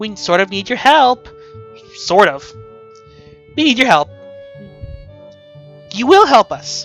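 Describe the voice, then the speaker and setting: A put-on character voice with a fairly high pitch moves at a fairly slow pace over faint music in the background. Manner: playful and carefree; hard, severe undertone.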